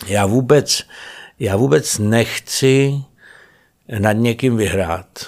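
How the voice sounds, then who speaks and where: A man at a very slow pace with long, frequent pauses, medium pitch and ordinary pitch variation, on a very clean recording with a silent background. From Prague. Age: 50s. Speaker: actor. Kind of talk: casual chat. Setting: studio.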